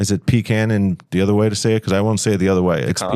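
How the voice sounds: In a New York accent, a man talks at a very fast pace with a fairly low pitch and a dark, mellow tone. His loudness stays very even, and his intonation is fairly even as well.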